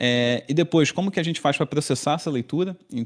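On a very clean recording with total background silence, a man talks at a fairly quick pace with ordinary pitch variation. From Brazil, Rio de Janeiro. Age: 30s. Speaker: engineering professor. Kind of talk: podcast interview. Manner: hesitant, many fillers.

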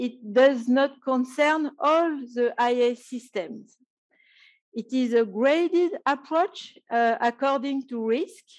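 In a French accent, a woman speaks at a very slow pace and a high pitch, with ordinary pitch variation, against a quiet background. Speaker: professor. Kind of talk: conference panel talk.

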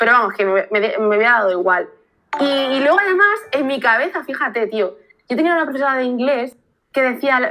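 Lively intonation and a high pitch mark a woman's speech. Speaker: marketing agency worker. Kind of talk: casual interview.

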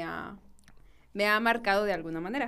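Her voice has a medium pitch, a moderate pace and a central Mexican accent, and the speaker is a woman. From Mexico, Guanajuato. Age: 20s. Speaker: architect. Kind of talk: casual interview chat. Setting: studio.

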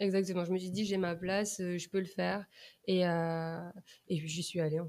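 Speaking at a fairly slow pace, a woman uses a fairly low pitch and a flat, monotone intonation. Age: 20s. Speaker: communication coach. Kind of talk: casual chat. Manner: halting.

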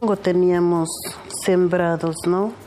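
Against noticeable background noise, a woman with a medium pitch talks at a very slow pace. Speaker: farm worker. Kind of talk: life story testimony.

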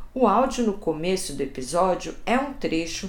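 A woman talks at a fairly slow pace. Audible room echo colors the recording. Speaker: journalist and podcast host. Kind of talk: scripted narration.

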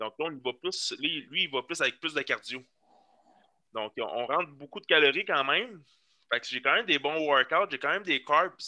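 A man with a bright, sharp tone, fairly high pitch and lively intonation at a moderate pace, in a dry, close sound with no echo. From Quebec, Laurentides. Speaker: fitness coach and bodybuilder. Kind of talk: casual chat. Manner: halting.

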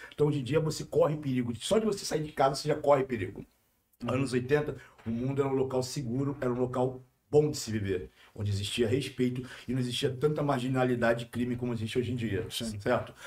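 Somewhat breathy speech comes at a very fast pace with ordinary pitch variation. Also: man, medium pitch for a man. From Rio de Janeiro (Manguinhos favela). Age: 40s. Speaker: youtuber. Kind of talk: casual chat. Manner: animated.

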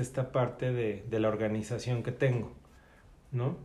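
A man speaks with a Mexican accent. His tone is dark and mellow, and somewhat breathy. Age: 40s. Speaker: job applicant, special education worker. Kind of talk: job interview. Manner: hesitant.

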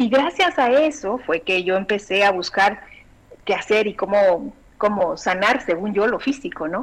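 In an ordinary speaking voice, a woman of medium pitch talks at a fairly slow pace with lively intonation. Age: 40s. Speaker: bioexistence consultant. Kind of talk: interview.

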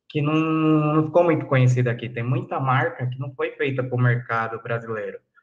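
A man's voice comes across as somewhat breathy. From São Paulo city, south zone. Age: 20s. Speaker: pipe dealer and historian. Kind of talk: interview.

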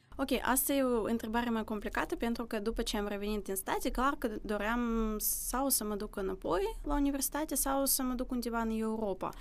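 At a fairly quick pace with hardly any pauses, a woman speaks at a high pitch with ordinary pitch variation, in a Russian accent. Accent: Russian accent in Romanian. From Russia, Vladivostok, then Moldova from age 11. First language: Russian (speaking Romanian). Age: 20s. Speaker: university student and language teacher. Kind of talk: interview conversation.

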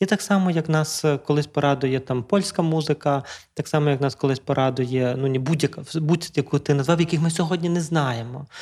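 This man has an ordinary speaking voice with a fairly high pitch, ordinary pitch variation, very even loudness and a moderate pace, captured in a very clean recording with a silent background. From western Ukraine, Lviv region (Drohobych). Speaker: psychotherapist, podcast host. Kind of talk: casual chat. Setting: studio.

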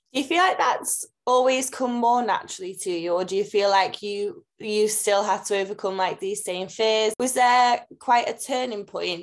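A woman speaks in an unremarkable speaking voice, fairly high in pitch with ordinary pitch variation, moving at a moderate pace with hardly any pauses. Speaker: podcast co-host. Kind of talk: podcast interview.

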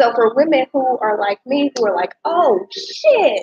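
Speaking very slowly, a woman uses a high voice with lively intonation. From Louisiana. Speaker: podcast host. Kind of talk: casual interview. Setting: in-person recording.

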